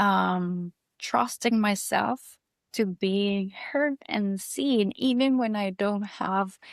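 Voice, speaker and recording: Speaking at a very slow pace in a Costa Rican accent, a woman holds a medium pitch with ordinary pitch variation, captured in a very clean recording with a silent background and a dry, close sound with no echo. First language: Spanish. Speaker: yoga and breathwork teacher. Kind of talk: casual interview chat.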